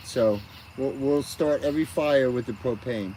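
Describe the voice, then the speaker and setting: Talking at a moderate pace, a man uses a medium pitch. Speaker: live streamer. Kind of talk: casual live stream chat with viewers. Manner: loud.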